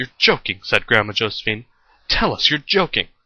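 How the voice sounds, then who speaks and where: A man does a put-on character voice. He speaks fairly quickly at a medium pitch. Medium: read story.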